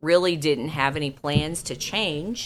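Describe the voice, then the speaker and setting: A woman speaks, keeping her intonation fairly even. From rural southwest Missouri, Dallas County. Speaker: state senator. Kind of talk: casual interview. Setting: senator's office.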